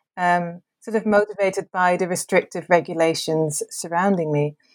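A woman's fairly low voice with fairly even intonation, dry and close with no echo, on a very clean recording with a silent background. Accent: Dutch. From Netherlands. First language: Dutch. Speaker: academic author. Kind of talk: interview.

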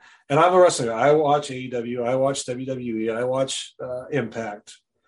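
With a plain, everyday voice and an American accent, a man speaks at a fairly slow pace, his intonation fairly even but his loudness swinging widely. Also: medium pitch for a man. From Wisconsin, US Midwest. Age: 50s. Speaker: wrestling podcast host. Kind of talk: interview.

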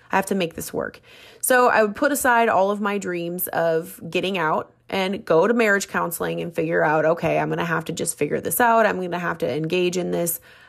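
A woman with an American accent talks at a fairly quick pace with a fairly low pitch and ordinary pitch variation. The recording is very clean, with a silent background. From Minnesota. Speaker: podcast host. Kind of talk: casual solo monologue.

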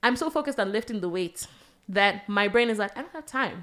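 A woman talks with lively intonation. Her pitch sits in the medium range. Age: 20s. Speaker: podcast co-host. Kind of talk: casual chat.

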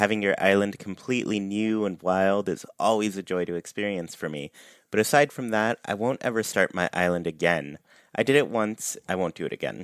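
A man with an unremarkable speaking voice, fairly low pitch, ordinary pitch variation and a fairly quick pace, recorded very cleanly with a silent background and a dry, close sound with no echo. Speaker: podcast host. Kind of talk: casual chat.

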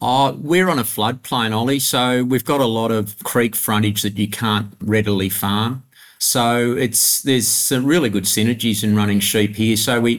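Speaking with a rural Australian accent, a man keeps a medium pitch and a moderate pace. His loudness is very even and his pitch varies in an ordinary way. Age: 60s. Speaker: grain farmer. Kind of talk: interview.

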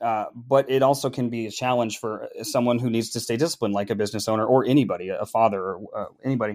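In a very clean recording with a silent background, a man with an American accent speaks at a very fast pace and a medium pitch, his intonation fairly even and hardly any pauses between words. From US Upper Midwest, Minneapolis. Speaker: sales professional in tech. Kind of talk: podcast interview.

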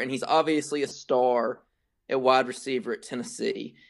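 Against a quiet background, someone talks fairly quickly. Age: 20s. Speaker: co-host, Tennessee fan. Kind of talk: casual sports banter.

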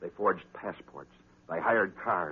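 A man talks at a moderate pace, his voice carrying a slightly husky edge.

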